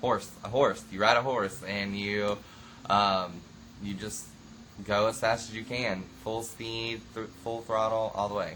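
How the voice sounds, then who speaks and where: A man with a rural Southern US accent speaks at a fairly low pitch in a bright, sharp tone with fairly even intonation. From US South, rural Florida (Okeechobee). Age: 20s. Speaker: reality show cast member. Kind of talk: interview. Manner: hesitant, many fillers.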